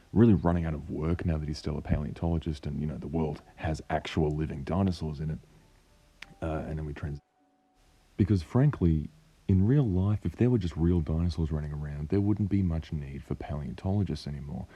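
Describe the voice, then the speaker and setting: A croaky man with a very deep, low pitch and a dark, mellow tone talks at a fairly quick pace with ordinary pitch variation. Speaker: paleontology enthusiast. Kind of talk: film trailer breakdown commentary. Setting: cheap microphone.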